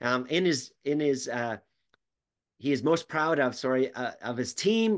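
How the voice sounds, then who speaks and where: A man with an American accent, an ordinary speaking voice, ordinary pitch variation, and a moderate pace against a quiet background. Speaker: podcast host and business coach. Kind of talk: casual interview.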